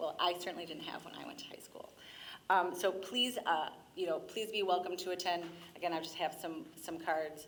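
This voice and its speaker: Audible room echo surrounds a woman speaking at a fairly low pitch with ordinary pitch variation. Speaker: school district representative. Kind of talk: public presentation at council meeting. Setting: city council meeting chamber. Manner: fast.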